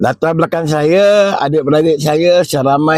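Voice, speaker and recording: A man's fairly high voice, fairly slow, with ordinary pitch variation. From Malaysia, Negeri Sembilan (Kuala Pilah). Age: 60s. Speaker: retiring government driver. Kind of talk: personal testimony at retirement video. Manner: halting, casual.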